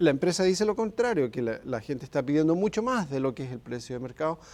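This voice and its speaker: A man with a Chilean accent talks at a fairly quick pace in a fairly high pitch, his dark, mellow tone carried by lively intonation on a very clean recording with a silent background. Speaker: human rights expert. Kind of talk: TV interview.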